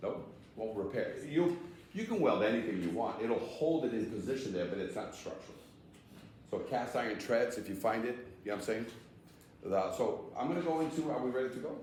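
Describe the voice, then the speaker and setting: A man at a fairly quick pace with long, frequent pauses, audible room echo and noticeable background noise. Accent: American. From Massachusetts (Somerville, Boston area). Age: 60s. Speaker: fire escape association founder, seminar presenter. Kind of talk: training seminar talk. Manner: conversational, interactive with audience.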